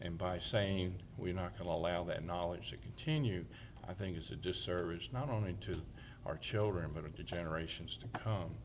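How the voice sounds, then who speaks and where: With an American accent, a man with a very deep, low voice speaks at a moderate pace with lively intonation, and audible room echo surrounds him. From New Jersey, then Alabama from age 12. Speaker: town mayor. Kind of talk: oral history testimony.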